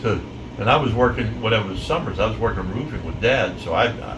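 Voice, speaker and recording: Over noticeable background noise and audible room echo, a man with an American accent speaks at a fairly quick pace and medium pitch, with ordinary pitch variation. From western Pennsylvania, McKeesport. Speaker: retired musician telling family stories. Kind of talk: casual storytelling to family. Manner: halting.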